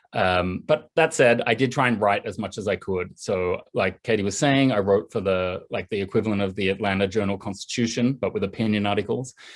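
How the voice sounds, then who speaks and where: Pitched fairly low, a man talks with an Australian accent. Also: ordinary pitch variation, fairly quick pace, hardly any pauses. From Australia, east coast near Sydney. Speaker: journalist and political writer. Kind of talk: video call interview. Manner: casual, fluent.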